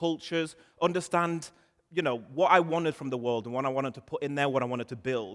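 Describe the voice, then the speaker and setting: A man speaks with a northern English accent in an animated tone, at a fairly quick pace. His pitch varies in an ordinary way. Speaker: marketing conference speaker. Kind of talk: conference talk. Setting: stage with audience.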